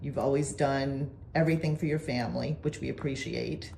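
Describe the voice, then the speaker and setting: Her pitch is very deep and low, with vocal fry, ordinary pitch variation, and a moderate pace as the woman talks. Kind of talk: casual interview questions.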